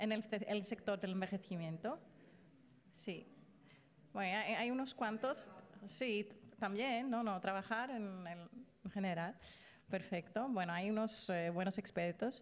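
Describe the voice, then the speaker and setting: With a non-native accent, a woman talks at a fairly slow pace and a medium pitch. Her pitch variation is ordinary, broken by long, frequent pauses. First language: not Spanish (speaking Spanish). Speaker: invited speaker on ageing and human rights. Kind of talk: lecture. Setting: stage with audience. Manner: halting.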